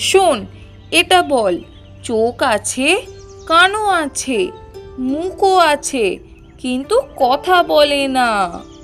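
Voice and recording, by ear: A woman's high, fairly bright cartoonish character voice with big pitch swings, very slow with few pauses, over faint music in the background.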